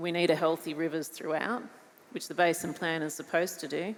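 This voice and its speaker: A woman with an Australian accent speaks at a fairly quick pace. Her pitch is fairly low, with ordinary variation. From Australia, New South Wales. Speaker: farmer. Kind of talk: panel discussion.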